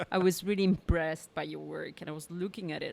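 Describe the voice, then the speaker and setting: A woman with an Italian accent at a fairly quick pace. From Italy. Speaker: painter. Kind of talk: casual chat.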